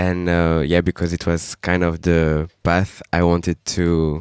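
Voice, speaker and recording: A man speaks in a very deep, low voice. The recording is very clean with a silent background, and the sound is dry and close with no echo. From Paris suburbs, France. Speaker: dancer. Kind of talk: panel discussion.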